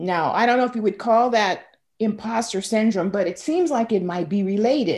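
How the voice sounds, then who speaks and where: An ordinary speaking voice with lively intonation, on a very clean recording with a silent background. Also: woman. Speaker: podcast host. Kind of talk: interview conversation.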